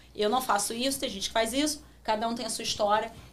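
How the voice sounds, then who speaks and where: With a Rio de Janeiro accent, a woman talks at a very fast pace in a fairly high pitch with fairly even intonation, and audible room echo. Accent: Carioca Brazilian Portuguese. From Brazil, Rio de Janeiro. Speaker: marketing professional. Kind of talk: interview.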